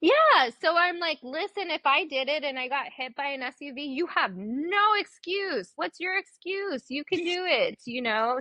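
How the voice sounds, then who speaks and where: Spoken in a Spanish accent, the delivery is animated with very wide pitch swings. There are hardly any pauses. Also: woman. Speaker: dentist. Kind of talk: casual chat.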